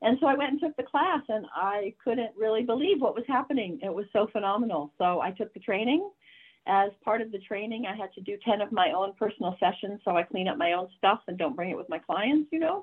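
It is a plain, everyday voice. The pace is fairly quick. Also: woman, fairly high pitch for a woman. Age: 60s. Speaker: nurse and tapping practitioner. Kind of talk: interview; guided exercise. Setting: video call.

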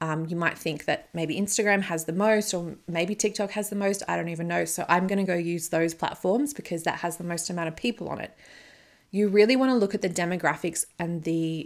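In a very clean recording with a silent background, a woman talks fairly quickly in an unremarkable speaking voice, fairly low in pitch with ordinary pitch variation. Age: 30s. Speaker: podcast host and business coach. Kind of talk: solo podcast monologue.

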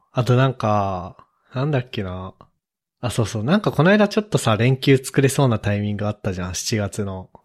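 A man speaks in a plain, everyday voice at a moderate pace with lively intonation. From Hokkaido, Japan. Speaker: software engineer. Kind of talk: casual chat.

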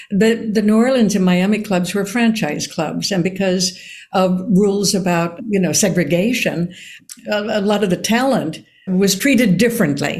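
A woman speaks at medium pitch and a moderate pace, with ordinary pitch variation. Her voice is somewhat breathy, with very even loudness. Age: 80s. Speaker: actor and author. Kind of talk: interview conversation.

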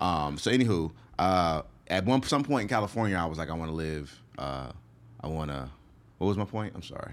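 A man with a very deep, low pitch and lively intonation talks at a fairly quick pace yet leaves long, frequent pauses. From US, moved often. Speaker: stand-up comedian. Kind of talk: casual interview. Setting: studio.

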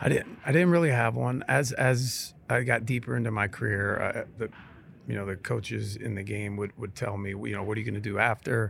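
A man's fairly low voice with vocal fry, in a Midwestern US accent, with ordinary pitch variation and a fairly quick pace. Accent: US Midwest. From Ohio, Steubenville. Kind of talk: casual interview. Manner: halting, repeats words.

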